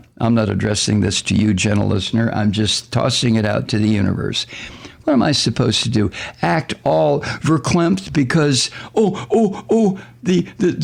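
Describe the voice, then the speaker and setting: A man at medium pitch with very wide pitch swings and very even loudness, over noticeable background noise. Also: moderate pace. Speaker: radio talk show host. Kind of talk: political commentary monologue. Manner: sarcastic; animated.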